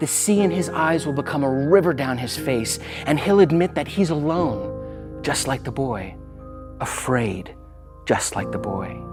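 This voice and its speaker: A man at medium pitch with very wide pitch swings, music in the background. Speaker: spoken word poet. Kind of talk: spoken word poetry performance.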